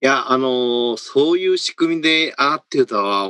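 Recorded dry and close with no echo, a man of medium pitch speaks at a fairly slow pace in a bright, sharp tone. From Kansai, Japan. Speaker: corporate HR executive. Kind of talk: panel discussion.

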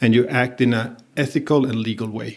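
This man has a Spanish accent and a medium pitch, with fairly even intonation. He speaks at a moderate pace on a very clean recording with a silent background. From Venezuela. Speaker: compliance executive. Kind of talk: interview.

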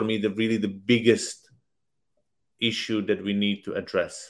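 A man with a Slovak accent, medium pitch and a fairly slow pace. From Slovakia. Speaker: politician. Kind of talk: panel discussion. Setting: online video event.

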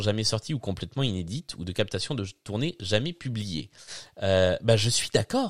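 At a moderate pace, a man speaks at medium pitch with ordinary pitch variation in a plain, everyday voice. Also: very clean recording, silent background. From southern France. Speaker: podcast host. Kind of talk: casual chat. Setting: live stream.

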